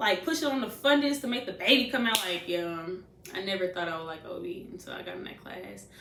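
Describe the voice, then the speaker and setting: A woman with an American accent talks at a very fast pace, with very wide pitch swings and big swings in loudness, along with audible room echo and noticeable background noise. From US Midwest, St. Louis, Missouri. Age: 20s. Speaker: nursing student vlogger. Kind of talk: casual advice vlog. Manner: animated.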